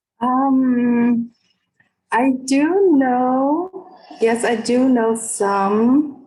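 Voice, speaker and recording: With a slight non-native accent, a woman speaks very slowly in a high voice with ordinary pitch variation. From Vietnam. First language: Vietnamese. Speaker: professor. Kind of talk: online discussion. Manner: halting.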